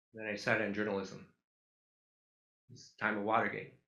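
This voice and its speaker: A man with an American accent at a very fast pace, fairly low in pitch with vocal fry and a bright, sharp tone, amid audible room echo. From Duluth, Minnesota, US Midwest. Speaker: photographer. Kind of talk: public talk with slides. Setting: auditorium with audience.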